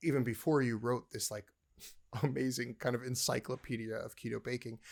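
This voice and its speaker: A man speaks with medium pitch. He moves at a fairly quick pace. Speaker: podcast host and chef. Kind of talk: casual chat. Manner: excitable, gets loud.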